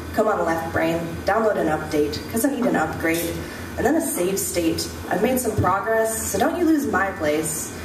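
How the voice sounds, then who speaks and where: Over noticeable background noise, a woman with a medium pitch speaks at a moderate pace, her pitch swinging very widely while her loudness stays very even. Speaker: slam poet. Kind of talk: slam poetry performance. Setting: live stage with microphone. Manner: intense, rhythmic.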